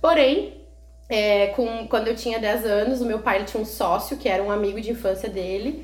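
Amid audible room echo, a woman speaks at a fairly high pitch and moderate pace with ordinary pitch variation. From Rio Grande do Sul, Brazil (Canoas). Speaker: mother of a child with a rare disease. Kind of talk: casual interview.

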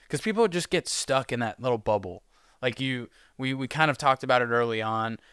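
With an ordinary speaking voice at medium pitch, a man talks at a fairly quick pace with ordinary pitch variation, the sound dry and close with no echo. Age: 20s. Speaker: podcast host. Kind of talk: casual interview.

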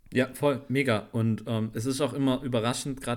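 A man speaks with an ordinary speaking voice at a moderate pace. The recording is very clean, with a silent background. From Swabia, Schwäbisch Gmünd near Stuttgart. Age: 20s. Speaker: photographer and cameraman. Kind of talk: casual chat.

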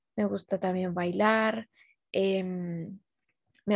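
A very slow pace in flat, monotone intonation. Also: woman. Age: 20s. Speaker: podcast host. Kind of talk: casual chat. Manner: halting, repeats words.

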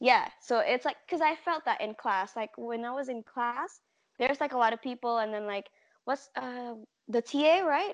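The sound is dry and close with no echo as a woman with an Indonesian accent speaks at a high pitch. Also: quiet background. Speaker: podcast guest. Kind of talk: casual chat. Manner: talkative.

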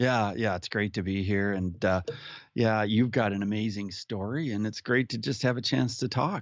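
Here is a man with a plain, everyday voice and fairly low pitch. He keeps a moderate pace with ordinary pitch variation. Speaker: podcast guest, musician and speaker. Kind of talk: casual interview, personal story.

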